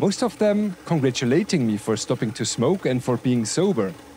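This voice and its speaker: Noticeable background noise sits behind a man speaking with a German accent. His pitch swings very widely. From Bavaria, Germany. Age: 40s. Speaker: 3D printing YouTuber. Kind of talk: casual chat; tutorial. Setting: workshop.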